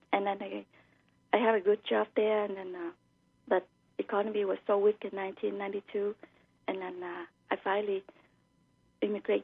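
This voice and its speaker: With a Vietnamese accent, a woman talks at a fairly quick pace in a medium pitch. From Vietnam (Saigon). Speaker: author. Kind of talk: radio interview. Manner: halting, many fillers.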